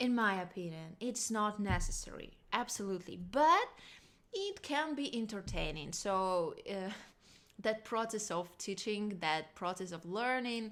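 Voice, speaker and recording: With a non-native accent, a woman at medium pitch talks at a fairly slow pace with lively intonation. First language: not English. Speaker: singer and vocal coach. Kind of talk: casual vocal lesson talk to camera.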